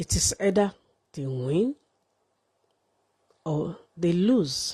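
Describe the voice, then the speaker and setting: A woman speaks very slowly at a fairly low pitch, somewhat breathy, with a dark, mellow tone and very wide pitch swings. The sound is dry and close, with no echo. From Nigeria. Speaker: live streamer. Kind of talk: livestream monologue.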